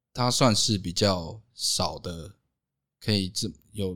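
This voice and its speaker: A man speaks with very deep, low pitch. The recording is very clean, with a silent background. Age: 20s. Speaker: owner of a photography and media company. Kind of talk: casual chat. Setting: recorded at the guest's home.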